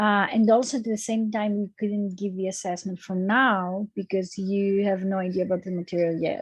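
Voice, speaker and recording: A woman with a Greek accent speaks at a medium pitch in a monotone, flat way at a moderate pace, somewhat breathy. The sound is dry and close with no echo, over a quiet background. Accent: Greek accent, noticeable. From Greece. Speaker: university lecturer. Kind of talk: lecture. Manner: hesitant, many fillers.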